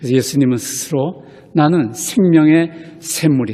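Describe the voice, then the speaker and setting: Noticeable background noise sits behind a man's voice. He speaks at a fairly high pitch with ordinary pitch variation. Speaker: pastor. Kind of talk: sermon.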